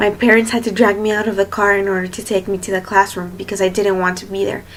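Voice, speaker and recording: A woman with a Spanish accent speaks at a very fast pace in a monotone, flat intonation. Noticeable background noise runs under her voice. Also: medium pitch for a woman. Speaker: student teacher. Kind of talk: self-introduction video. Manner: hesitant, many fillers.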